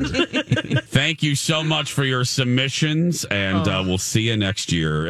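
Against noticeable background noise, a man speaks very slowly at a medium pitch, his loudness very even while his pitch swings very widely. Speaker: radio show host. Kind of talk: casual. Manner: enthusiastic.

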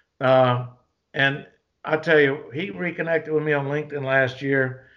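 Speaking with a Southern US accent, a man at a fairly high pitch uses a bright, sharp tone, fairly even intonation and a moderate pace. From US South (Georgia). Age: 60s. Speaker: retired special forces soldier and martial arts instructor. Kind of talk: casual interview conversation.

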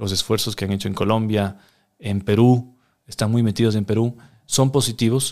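A man with a normal speaking voice talks at a fairly low pitch and a moderate pace, with fairly even intonation. The recording is very clean and the background silent. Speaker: politician. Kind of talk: interview.

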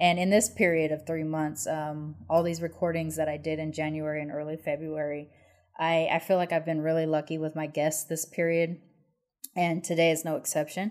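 Very deep, low pitch from a woman, monotone and flat, at a moderate pace. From United States. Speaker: podcast host. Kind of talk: casual interview chat. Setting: video call.

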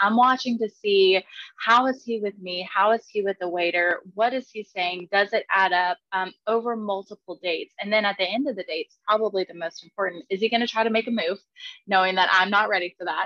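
A woman speaks at a medium pitch and a fairly quick pace. Her intonation is fairly even in an unremarkable speaking voice. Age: 20s. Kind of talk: casual chat.

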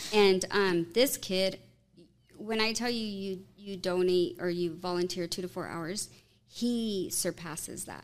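Her intonation fairly even, a woman uses an unremarkable speaking voice at a medium pitch. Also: fairly slow pace. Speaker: marketplace owner. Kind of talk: casual chat.

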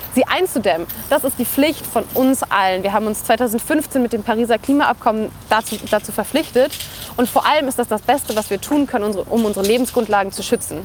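A woman talks at a fairly quick pace in a fairly high voice. Her pitch varies in an ordinary way over noticeable background noise. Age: 20s. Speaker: climate activist and university student. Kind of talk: interview.

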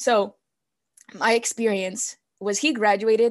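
Against a quiet background, someone speaks with a Spanish accent. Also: woman. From California, US. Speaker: poet and podcast guest. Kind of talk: casual interview chat.

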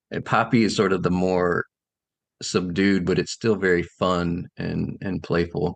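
A man with an American accent talks fairly slowly in a very deep, low pitch, with fairly even intonation. The recording is dry and close, with no echo. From US South, South Carolina. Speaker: children's book author and illustrator. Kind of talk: interview. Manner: halting, with frequent fillers and repeats.

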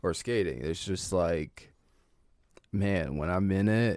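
With an American accent, a man speaks in a very deep, low voice with vocal fry. His pitch varies in an ordinary way. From Northern Virginia, US. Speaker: cowboy and clothing brand owner. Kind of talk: casual chat.

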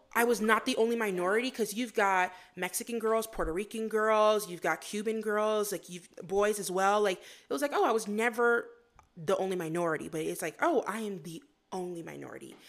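With an American accent, a woman speaks fairly quickly at medium pitch in a plain, everyday voice, with ordinary pitch variation. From US, Florida and New York. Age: 20s. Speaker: graduate student. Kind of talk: casual chat.

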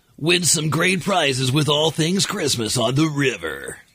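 A man at a moderate pace uses a put-on character voice pitched fairly high. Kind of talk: polished promo voice.

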